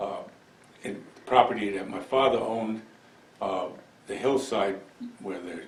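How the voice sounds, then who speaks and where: Against noticeable background noise, a man with an American accent talks at a fairly slow pace in a fairly low pitch, his intonation fairly even. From Milan, New York. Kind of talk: oral history interview answer. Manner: hesitant, reflective.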